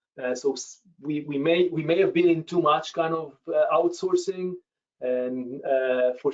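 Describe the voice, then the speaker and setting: Speaking fairly slowly, this man has a non-native accent. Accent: foreign. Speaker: professor. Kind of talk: webinar Q&A answer. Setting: video webinar. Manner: halting, many fillers.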